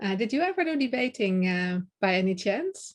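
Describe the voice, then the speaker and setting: A woman speaks at a moderate pace with a fairly high pitch. The background is quiet. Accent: Dutch. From Netherlands. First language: Dutch. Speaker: public speaking coach. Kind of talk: podcast interview.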